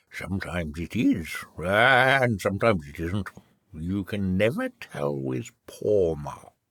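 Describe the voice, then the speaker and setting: In a put-on character voice, a man speaks at a fairly slow pace with a very deep, low pitch. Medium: read story. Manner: slow, ponderous.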